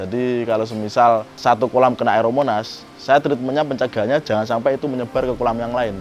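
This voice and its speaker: A very fast man with a medium pitch and fairly even intonation, amid noticeable background noise. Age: 20s. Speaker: catfish farmer, business owner. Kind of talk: interview.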